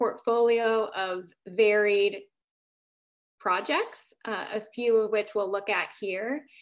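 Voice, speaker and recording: A woman at a very slow pace with fairly even intonation against a quiet background. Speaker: architect. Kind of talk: panel Q&A; slide presentation. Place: home room. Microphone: video call.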